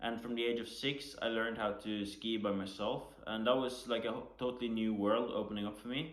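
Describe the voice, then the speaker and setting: With a Norwegian accent, a man of medium pitch speaks at a fairly quick pace with hardly any pauses and fairly even intonation amid audible room echo. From western Norway. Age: 20s. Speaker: Paralympic skier. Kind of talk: panel talk.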